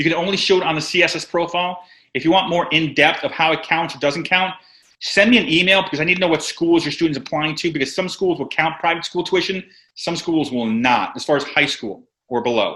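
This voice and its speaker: Very fast, high-pitched male speech with a bright, sharp tone and ordinary pitch variation. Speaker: financial aid advisor. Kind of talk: webinar presentation with live Q&A. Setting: online webinar.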